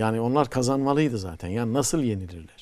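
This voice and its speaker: Over a quiet background, a man speaks at a fairly quick pace with lively intonation. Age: 60s. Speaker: poet and professor; poet, professor. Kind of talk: TV talk show conversation. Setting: TV studio. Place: studio. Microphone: lapel.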